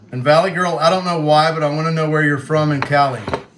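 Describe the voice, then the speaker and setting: The speech moves at a fairly quick pace. Room echo is audible, and there is noticeable background noise. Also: man. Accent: American. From Western Kentucky, US. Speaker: livestreamer. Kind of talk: casual chat.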